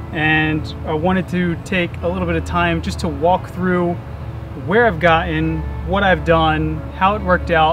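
Over music in the background, a man speaks at a moderate pace in a dry sound with no echo. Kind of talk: casual vlog chat. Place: street.

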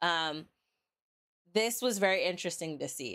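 Over a quiet background, a woman talks at a moderate pace. Her intonation is lively. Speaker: reaction video host. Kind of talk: casual reaction commentary. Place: home room.

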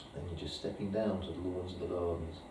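A man's very deep, low voice at a fairly quick pace, with noticeable background noise and audible room echo. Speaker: hypnotherapist demonstrating technique. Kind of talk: hypnosis induction and training demo, alternating with casual teaching commentary. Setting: live demonstration with a volunteer subject, filmed. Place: meeting room.

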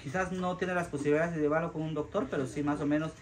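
A man over loud background noise. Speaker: charity vlogger. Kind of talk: casual vlog chat to viewers. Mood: earnest, concerned. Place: home room.

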